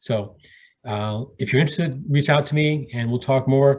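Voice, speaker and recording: A man's somewhat breathy voice at a moderate pace against a quiet background. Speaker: real estate investor and trainer. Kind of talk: live online Q&A session wrap-up. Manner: animated.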